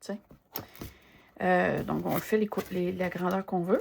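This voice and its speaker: In a relaxed tone, a woman speaks with a Quebec accent. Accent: Québécois French. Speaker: art journaling content creator. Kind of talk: casual craft demo chat. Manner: relaxed, hesitant with many fillers.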